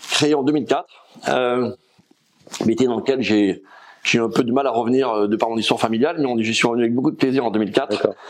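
A man talks at a very fast pace, yet leaves long, frequent pauses. His pitch is medium with ordinary variation. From France, Rhône valley (Drôme/Ardèche). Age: 50s. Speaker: logistics company founder. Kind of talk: interview.

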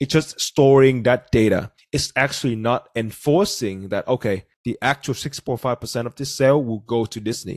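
Man with a Vietnamese accent, medium pitch, ordinary pitch variation, moderate pace and hardly any pauses, in a dry, close sound with no echo. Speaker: podcast host. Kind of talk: casual podcast discussion.

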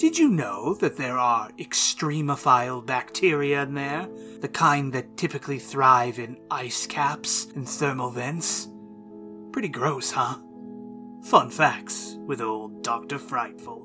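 Set against clear music in the background, a put-on character voice at a low-to-middle pitch moves along at a fairly slow pace. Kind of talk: campy horror host narration. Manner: playful, menacing, rambling.

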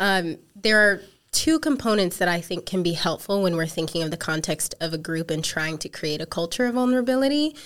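A woman with an American accent and an ordinary speaking voice talks at a fairly quick pace, her pitch fairly low and her intonation lively. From South Africa, then Missouri from age 13. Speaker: counseling student and ministry worker. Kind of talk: podcast interview.

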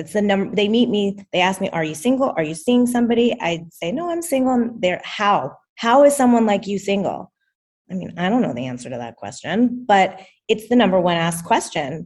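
Somewhat breathy and medium in pitch, a woman speaks at a fairly quick pace with very wide pitch swings. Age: 30s. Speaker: coaching client. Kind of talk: interview. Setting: video call.

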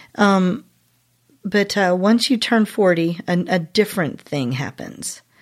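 A very slow woman's voice at medium pitch, lively in intonation, on a very clean recording with a silent background. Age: 50s. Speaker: worship songwriter. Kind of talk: interview.

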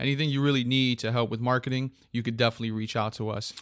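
The speaker has an ordinary speaking voice with fairly even intonation. The recording is very clean, with a silent background. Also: man. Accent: American. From Connecticut. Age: 30s. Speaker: podcast host. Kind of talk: casual chat.

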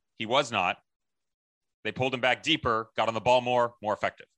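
A man's medium-pitched voice with a bright, sharp tone comes across in a dry, close sound with no echo. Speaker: soccer podcast co-host. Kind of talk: casual chat. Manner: loud.

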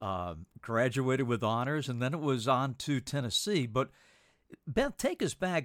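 Lively in intonation, a man with a plain, everyday voice speaks at a moderate pace on a very clean recording with a silent background. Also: medium pitch for a man. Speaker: podcast host. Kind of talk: interview conversation.

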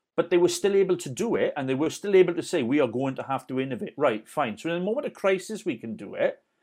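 A man talks at a very fast pace in an animated tone, with high pitch and very wide pitch swings. He leaves hardly any pauses.

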